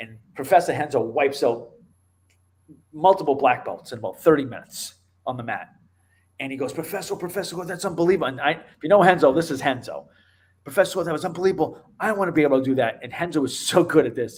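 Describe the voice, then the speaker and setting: A man with a fairly high voice talks very fast, with ordinary pitch variation and long, frequent pauses. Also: big swings in loudness. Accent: Boston. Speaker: MMA show host and martial arts instructor. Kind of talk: casual interview chat. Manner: animated.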